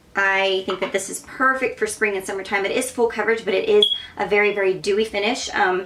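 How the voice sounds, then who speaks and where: Over noticeable background noise, a woman talks very fast at a medium pitch in a monotone, flat intonation. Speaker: makeup artist. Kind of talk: tutorial. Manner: casual, filler-heavy.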